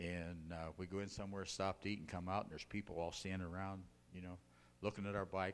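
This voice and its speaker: The speaker talks at a very fast pace with an American accent. The intonation is monotone and flat. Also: man, very deep, low pitch for a man. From northern Ohio (Akron), US Midwest. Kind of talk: testimony. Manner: casual, folksy with fillers.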